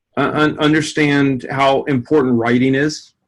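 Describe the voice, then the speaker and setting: A man's flat, monotone delivery at a medium pitch, fairly slow, in an American accent. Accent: Southern drawl, comes out sometimes. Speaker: sport psychology professor. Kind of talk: interview. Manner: halting, many repetitions.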